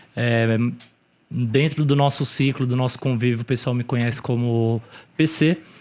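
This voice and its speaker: A man at medium pitch, fairly slow and fairly even in intonation, with long, frequent pauses on a very clean recording with a silent background. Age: 30s. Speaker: e-commerce entrepreneur. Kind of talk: interview.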